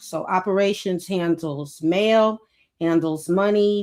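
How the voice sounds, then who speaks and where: A woman with a Brooklyn accent, medium in pitch, ordinary pitch variation, on a very clean recording with a silent background. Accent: Brooklyn New York. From Brooklyn, New York. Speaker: author and former prison caseworker. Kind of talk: podcast interview.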